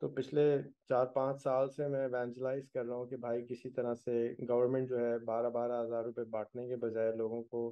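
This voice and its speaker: Over a quiet background, a man speaks at a fairly slow pace with monotone, flat intonation. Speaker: podcast host. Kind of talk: podcast introduction. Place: home room. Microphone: video call.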